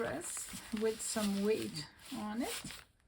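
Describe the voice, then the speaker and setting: With a French accent, a woman speaks at a fairly high pitch amid noticeable background noise and audible room echo. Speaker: craft video creator. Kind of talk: tutorial. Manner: casual, thinking aloud.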